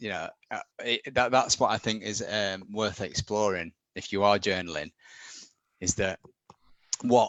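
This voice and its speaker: With long, frequent pauses, a man of fairly low pitch speaks at a fairly slow pace. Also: ordinary pitch variation. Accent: northern English. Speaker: back pain sufferer sharing recovery. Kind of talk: live Q&A interview. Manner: halting, many restarts.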